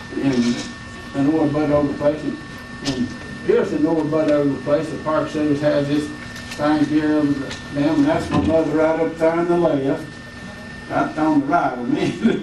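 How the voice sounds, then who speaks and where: A man with a fairly high voice speaks with long, frequent pauses. Noticeable background noise and audible room echo fill the recording. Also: fairly even intonation, moderate pace. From US South. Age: 80s+. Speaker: retired park service worker. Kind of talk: storytelling on a panel. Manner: halting.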